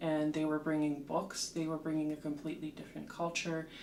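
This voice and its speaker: This woman speaks at a fairly low pitch. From Slovakia, Bratislava. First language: Slovak. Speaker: literature lecturer and translator. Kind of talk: interview, personal story. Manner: hesitant with frequent fillers.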